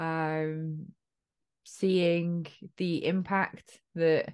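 A woman's fairly low-pitched voice over a quiet background. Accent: southern English. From Essex, England. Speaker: podcast host. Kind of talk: casual interview conversation.

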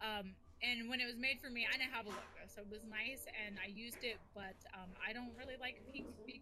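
Fairly even intonation carries an American accent, with audible room echo and noticeable background noise. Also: woman, fairly high pitch for a woman, fairly quick pace. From US West Coast. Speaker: streamer and content creator. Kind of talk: casual chat.

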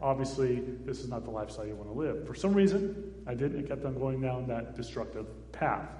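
With an American accent, a man speaks at a fairly quick pace and medium pitch, his intonation lively. Audible room echo and noticeable background noise surround him. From US Southwest, Phoenix, Arizona. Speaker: missionary, founder of a children's charity. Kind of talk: testimony in a church service.

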